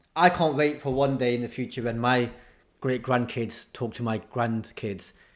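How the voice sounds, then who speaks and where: The man speaks with a northern English accent. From northern England. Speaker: comedian. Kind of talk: interview. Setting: video call.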